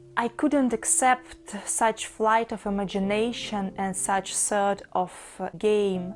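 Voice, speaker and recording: With music in the background, a woman with a fairly high pitch and lively intonation speaks at a very slow pace. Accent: Russian. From Russia, Saint Petersburg. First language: Russian. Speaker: book vlogger. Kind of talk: casual monologue about a book.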